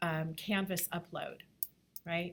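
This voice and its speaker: On a very clean recording with a silent background, a woman with an unremarkable speaking voice talks at a fairly slow pace, her pitch fairly low and her intonation fairly even. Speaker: graphic design instructor. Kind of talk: lecture. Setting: classroom.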